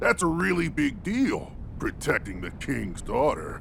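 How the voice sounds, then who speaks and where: At a moderate pace, a man performs a put-on character voice over clear background noise. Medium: video game. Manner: hearty, boisterous.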